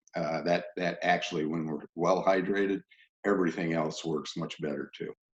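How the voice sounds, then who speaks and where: A man's very deep, low voice with fairly even intonation at a moderate pace. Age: 60s. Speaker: physiologist presenter. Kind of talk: sales pitch. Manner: halting.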